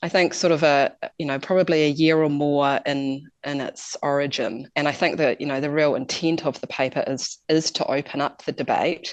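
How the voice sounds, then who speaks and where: Speaking with a New Zealand accent, a woman with a very deep, low pitch keeps a moderate pace and fairly even intonation, with hardly any pauses. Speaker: climate policy expert. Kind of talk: interview. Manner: hesitant, many fillers.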